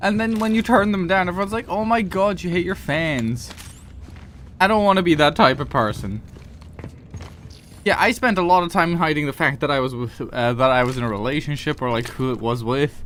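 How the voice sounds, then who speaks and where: A man's fairly quick speech at a fairly high pitch, with very wide pitch swings. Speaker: gaming streamer. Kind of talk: casual chat. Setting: live stream.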